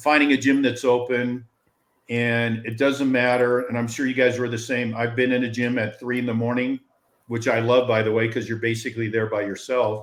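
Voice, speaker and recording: Flat and monotone, a man with an American accent speaks at a medium pitch and a fairly quick pace. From US West Coast (Los Angeles). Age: 60s. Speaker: company founder, former pro athlete. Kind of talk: casual chat. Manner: halting, repetitive.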